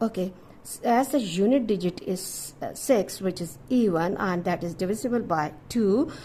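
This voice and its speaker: A woman's somewhat breathy, dark and mellow voice, fairly slow in pace with lively intonation. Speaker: maths teacher. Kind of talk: tutorial.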